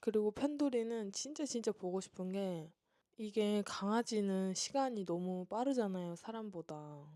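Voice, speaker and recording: Delivery is fairly slow, with lively intonation. The tone comes across dark and mellow. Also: woman, medium pitch for a woman. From South Korea. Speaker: vlogger. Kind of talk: Q&A vlog monologue. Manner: casual, chatty.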